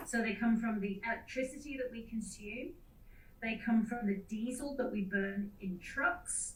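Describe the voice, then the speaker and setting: Moderate pace, ordinary pitch variation and audible room echo. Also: woman, fairly high pitch for a woman. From UK. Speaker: mining company sustainability executive. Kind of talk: conference presentation. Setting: video call from a hotel room.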